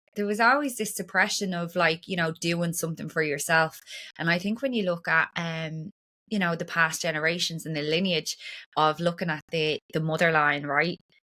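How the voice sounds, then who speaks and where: With an Irish accent, a woman talks in a fairly low pitch with a bright, sharp tone. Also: ordinary pitch variation, moderate pace. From Ireland. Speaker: breathwork and trauma practitioner. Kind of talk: podcast interview.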